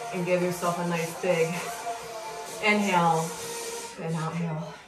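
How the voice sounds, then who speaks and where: Clear music plays in the background as a woman speaks at a fairly low pitch with ordinary pitch variation. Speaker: cycling instructor. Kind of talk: workout coaching cues. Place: home room. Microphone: camera far.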